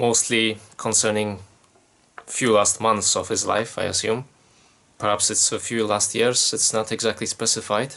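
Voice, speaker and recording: This man's voice sits at a medium pitch, moving at a moderate pace. His delivery stays monotone and flat. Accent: Polish. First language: Polish. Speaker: YouTuber giving Bible commentary. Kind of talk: solo commentary from notes. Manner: casual, conversational.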